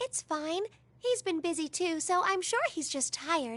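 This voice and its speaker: Using a put-on character voice, a woman sounds squeaky and extremely high-pitched, with lively intonation at a moderate pace. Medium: video game. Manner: soft-spoken.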